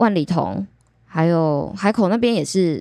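Recorded very cleanly against a silent background, a woman with a plain, everyday voice speaks at a fairly low pitch with lively intonation. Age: 20s. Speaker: aquarium service department supervisor. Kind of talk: casual chat.

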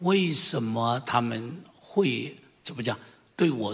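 A man's medium-pitched voice with lively intonation and audible room echo. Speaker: senior pastor. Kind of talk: testimony. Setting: church service.

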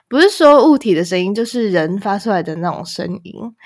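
A woman at medium pitch and a moderate pace, her pitch swinging very widely. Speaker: podcast co-host. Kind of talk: casual chat.

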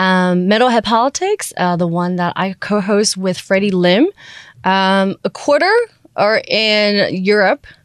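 Speaking with a Taiwanese-American accent, a woman talks at a fairly slow pace and medium pitch. Her pitch varies normally, and the sound is dry and close with no echo. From Taiwan, schooled in the US from middle school. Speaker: podcast network founder. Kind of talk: interview. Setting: studio.

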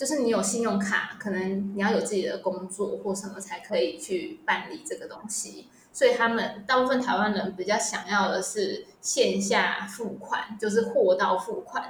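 Amid noticeable background noise and audible room echo, a woman with a Taiwanese accent talks at a moderate pace and a fairly high pitch, with ordinary pitch variation and hardly any pauses. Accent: Taiwanese Mandarin. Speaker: retail product manager. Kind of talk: casual interview. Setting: remote recording.

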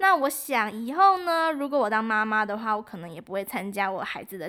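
Very wide pitch swings mark this fairly quick delivery, captured in a very clean recording with a silent background. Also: woman. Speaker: student radio host. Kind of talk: scripted radio presenting.

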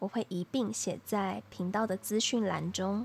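Dry and close with no echo, a woman speaks in a soothing tone. Her pace is fairly slow. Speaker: podcast host. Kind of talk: solo monologue. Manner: soothing, sleep-inducing.

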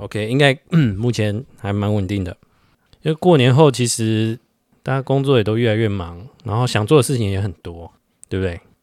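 A man with a normal speaking voice, medium pitch, ordinary pitch variation and a moderate pace, in a very clean recording with a silent background and a dry, close sound with no echo. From Taiwan. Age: 30s. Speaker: podcast co-host. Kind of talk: casual chat.

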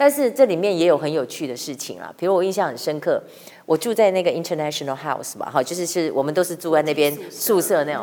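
A woman speaks very fast at a fairly low pitch. Her intonation is lively and her loudness swings widely. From Taiwan. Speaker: veteran TV journalist and author. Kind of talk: casual interview.

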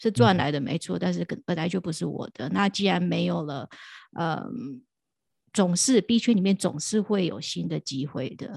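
A woman speaks at a moderate pace in a fairly low voice with vocal fry. The recording is very clean, silent in the background, and dry and close with no echo. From Taiwan. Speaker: crypto podcast host and DeFi content creator. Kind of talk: casual interview.

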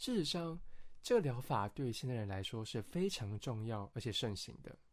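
Very clean recording, silent background: a man with a plain, everyday voice. He speaks at a moderate pace and medium pitch. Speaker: podcast host, psychology student. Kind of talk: scripted educational podcast narration. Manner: friendly, conversational.

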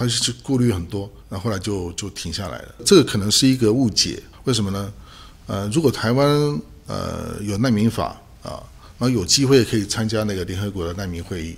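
This man's voice sits fairly low and is somewhat breathy, with ordinary pitch variation. He talks at a fairly quick pace. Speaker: political scientist, associate professor and human rights activist. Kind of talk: interview. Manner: halting, many fillers.

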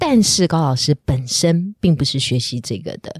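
A woman speaks in an animated tone with lively intonation. The sound is dry and close, with no echo. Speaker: podcast host and news anchor. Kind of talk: casual interview chat. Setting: studio.

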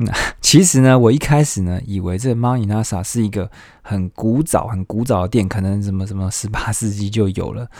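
On a very clean recording with a silent background, a man with a fairly low pitch talks at a moderate pace with ordinary pitch variation and hardly any pauses. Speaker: solo podcast host. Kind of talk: casual solo monologue. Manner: many filler sounds, hesitant.

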